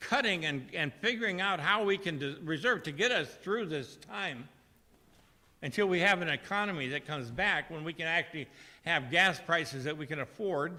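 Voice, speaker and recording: Here a man speaks at a moderate pace with a high pitch. His tone is bright and sharp, his intonation lively. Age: 70s. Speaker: member of the public speaking at council meeting. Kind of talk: public comment. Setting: city council meeting. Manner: halting.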